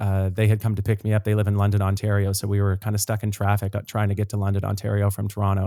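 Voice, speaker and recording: A man with a Canadian Maritime accent speaks at a fairly low pitch in a dark, mellow tone. The recording is very clean with a silent background and a dry, close sound with no echo. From Nova Scotia, Canada (Dartmouth). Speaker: singer and actor. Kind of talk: podcast interview.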